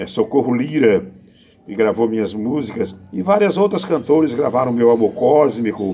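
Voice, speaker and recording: A man is speaking. His pace is moderate and his pitch medium. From Brazil, Pernambuco (Northeast). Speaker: poet and improvising singer. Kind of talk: interview answers. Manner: halting.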